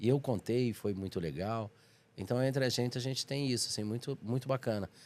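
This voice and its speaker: At a fairly quick pace, a man talks in an ordinary speaking voice at medium pitch with ordinary pitch variation. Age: 60s. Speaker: comedian. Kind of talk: podcast interview.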